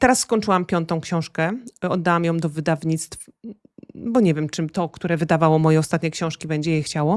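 A woman's fairly low voice at a fairly quick pace, with ordinary pitch variation and a dry, close sound with no echo. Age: 40s. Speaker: author. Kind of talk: interview. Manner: halting.

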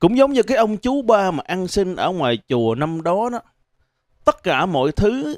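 A man talks at a fairly slow pace with very wide pitch swings. The sound is dry with no echo, over a quiet background. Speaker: stand-up comedian. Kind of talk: stand-up comedy monologue. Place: stage. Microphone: handheld.

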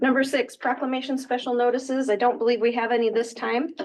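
Vocal fry at a very fast pace, with an American accent. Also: woman. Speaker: city council meeting chair. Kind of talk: council meeting chairing. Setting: council meeting in fire station.

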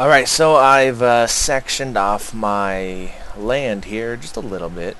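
This is a man speaking. His pace is very slow. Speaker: gaming video creator. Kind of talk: let's play commentary. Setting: home recording. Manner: casual, occasionally laughing.

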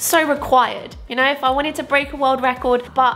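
Over faint music in the background, a woman talks at a fairly quick pace in a raised, projected voice. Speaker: fitness vlogger. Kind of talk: casual vlog chat. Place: home room.

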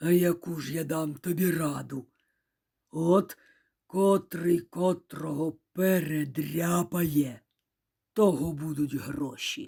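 Using a put-on character voice, a woman speaks at a fairly low pitch. Her pace is very slow, with long, frequent pauses. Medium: read story.

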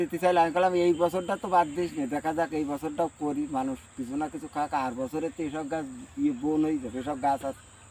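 A man uses a normal speaking voice at a fairly high pitch. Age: 50s. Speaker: date palm sap collector. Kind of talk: casual interview.

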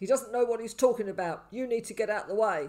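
The gruff, put-on character voice rattles along at a very fast pace. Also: man. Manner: curt, commanding.

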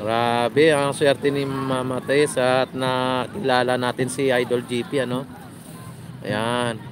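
Noticeable background noise sits under a man talking at a fairly slow pace, the sound dry with no echo. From Philippines. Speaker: vlogger doing a live stream. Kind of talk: live vlog commentary with passer-by interviews. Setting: outdoors at a beach. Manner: casual, hesitant with many fillers. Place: beach. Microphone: phone near.

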